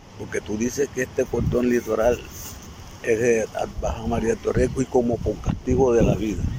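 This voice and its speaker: Noticeable background noise sits behind the recording. A man speaks with fairly even intonation. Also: medium pitch for a man, moderate pace. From La Boquilla, Cartagena, Caribbean coast of Colombia. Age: 70s. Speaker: community elder. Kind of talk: testimony.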